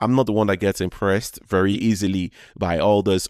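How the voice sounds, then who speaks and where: A man speaks with a Nigerian accent. His intonation is fairly even. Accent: Nigerian accent, noticeable. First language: Yoruba. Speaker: podcast host. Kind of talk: casual monologue. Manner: halting, many false starts.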